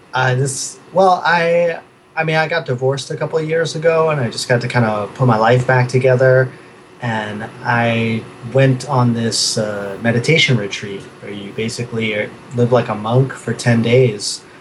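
With noticeable background noise, a man in an American accent speaks at a moderate pace, at medium pitch with ordinary pitch variation. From New York City, Queens. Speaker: artist. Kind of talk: casual interview chat. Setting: video call from his studio.

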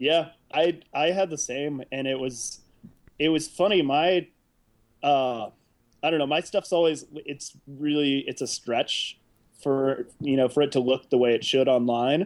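With an American accent, a man uses a normal speaking voice, fairly high in pitch with ordinary pitch variation, at a fairly slow pace. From Indiana, US Midwest. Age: 30s. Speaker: artist. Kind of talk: casual chat. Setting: video call.

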